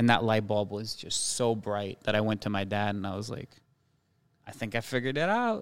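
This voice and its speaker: Here is a man with a plain, everyday voice and a fairly low pitch. He talks at a fairly quick pace with fairly even intonation. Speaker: chef and restaurateur. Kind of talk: casual chat.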